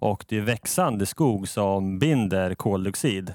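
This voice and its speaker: A man's fairly low, ordinary speaking voice at a fairly slow pace, with ordinary pitch variation, in a very clean, dry, close recording with no echo and a silent background. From Sweden, Norrköping. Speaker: finance manager, engineer by training. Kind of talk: casual podcast interview.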